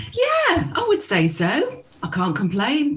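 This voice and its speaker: A woman talks over noticeable background noise. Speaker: voice-over artist and radio news reporter. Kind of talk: casual podcast conversation.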